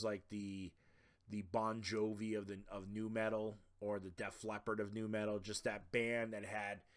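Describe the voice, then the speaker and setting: The speaker has a Boston accent. The pace is moderate. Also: man. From Boston, Massachusetts. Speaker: podcast host. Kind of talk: casual podcast monologue. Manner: casual, filler-heavy.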